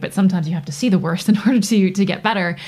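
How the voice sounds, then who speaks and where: A woman with a North American accent speaks at a medium pitch in a somewhat breathy voice, recorded very cleanly against a silent background. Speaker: Paralympic athlete. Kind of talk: interview. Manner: animated.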